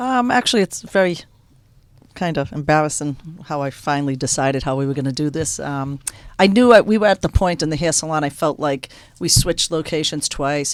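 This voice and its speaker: A woman with a strong Boston accent, very deep and low in pitch, at a very fast pace with ordinary pitch variation, on a very clean recording with a silent background. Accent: strong Boston North End. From Boston, North End. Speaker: restaurant owner, former hairdresser. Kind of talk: storytelling in radio interview. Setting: radio studio.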